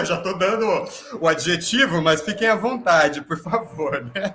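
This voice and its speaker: At a fairly slow pace and with ordinary pitch variation, the voice comes through over noticeable background noise. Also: man. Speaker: professor and host of staged reading. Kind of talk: dramatized interview hosting.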